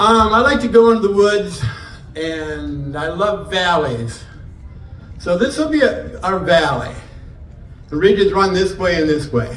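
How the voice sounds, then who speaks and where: A man with an American accent talks at a fairly slow pace in a high-pitched voice, his tone animated and his pitch swinging very widely. Long, frequent pauses break up his speech, and noticeable background noise and audible room echo fill the recording. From northern Michigan, US. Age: 70s. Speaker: morel hunting expert. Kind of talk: seminar talk. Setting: indoor venue with live audience.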